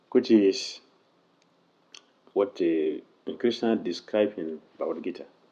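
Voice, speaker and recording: A man speaks with a non-native accent. He leaves long, frequent pauses. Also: fairly slow pace. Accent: heavy non-native. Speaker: monk, religious teacher. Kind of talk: religious lecture. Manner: volume swings between quiet and loud.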